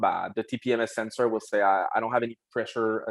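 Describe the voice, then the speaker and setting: A man speaks at a medium pitch and a fairly quick pace, in a monotone, flat intonation. The sound is dry and close with no echo. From Quebec. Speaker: wheel company representative. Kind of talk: casual podcast chat. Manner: halting, many fillers.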